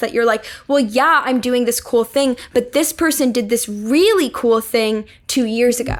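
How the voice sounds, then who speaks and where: Music plays in the background as a woman with an American accent speaks at a moderate pace and fairly high pitch with fairly even intonation. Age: 20s. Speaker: comedian. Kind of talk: interview answer.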